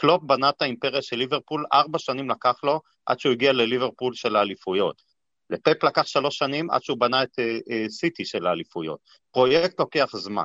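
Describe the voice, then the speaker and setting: This man talks at a very fast pace with lively intonation. His pitch sits at a medium level. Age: 50s. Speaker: football fan, businessman. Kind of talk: casual chat.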